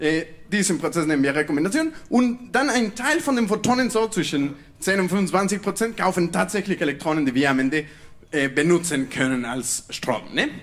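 A man with a Spanish accent talks at a moderate pace in a high pitch, his voice making very wide pitch swings while the loudness stays very even. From Mexico. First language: Spanish (speaking German). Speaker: PhD student in physics; presenter. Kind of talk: science slam talk; humorous popular science talk. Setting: stage with audience. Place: stage. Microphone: handheld.

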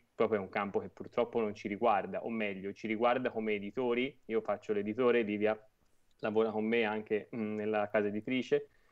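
Against a quiet background, a man speaks at a moderate pace. His pitch is fairly low and his intonation monotone and flat. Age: 30s. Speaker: publisher and platform founder. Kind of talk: interview. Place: home room. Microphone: earbuds.

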